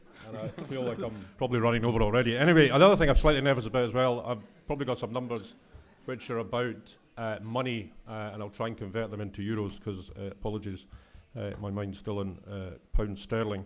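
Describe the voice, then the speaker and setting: A man with a Scottish accent talks very fast at medium pitch, with big swings in loudness. Room echo can be heard. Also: ordinary pitch variation. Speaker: executive director of a public environmental body. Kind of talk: conference talk.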